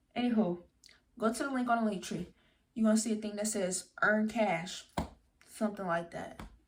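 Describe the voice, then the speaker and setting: A woman speaks at a moderate pace with long, frequent pauses. Her voice is fairly high and somewhat breathy. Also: ordinary pitch variation. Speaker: social media influencer. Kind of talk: tutorial. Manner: animated; stutters at times.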